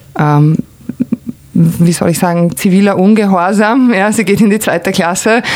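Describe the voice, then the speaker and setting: A moderate pace broken by long, frequent pauses, with very even loudness, ordinary pitch variation and noticeable background noise. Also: woman, medium pitch for a woman. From Croatia (former Yugoslavia). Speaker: art consultant and cultural manager. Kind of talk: casual interview conversation.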